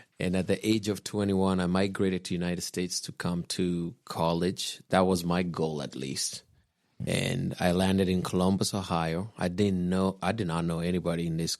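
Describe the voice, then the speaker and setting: On a very clean recording with a silent background, a man speaks with a very deep, low pitch. His pace is moderate and his intonation fairly even. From Kenya. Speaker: guest, host's husband. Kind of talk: personal testimony.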